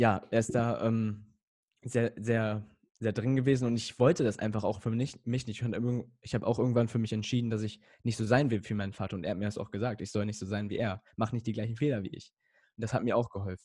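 A dark, mellow voice moves at a fairly quick pace with fairly even intonation and long, frequent pauses, on a very clean recording with a silent background. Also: man, medium pitch for a man. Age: young. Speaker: emotional coaching guest, podcaster. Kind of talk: casual interview chat.

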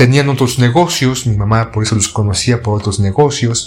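A man with a Mexican accent talks at a moderate pace, his pitch medium and its variation ordinary. Music plays in the background. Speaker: radio host. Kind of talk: casual monologue.

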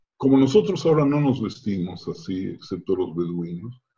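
A man's voice, dark and mellow and somewhat breathy, travels through very wide pitch swings. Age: old. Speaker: rabbi. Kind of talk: interview testimony. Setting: video call.

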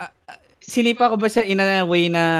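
This man has a normal speaking voice. He talks at a moderate pace. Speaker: podcast host. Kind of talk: casual chat.

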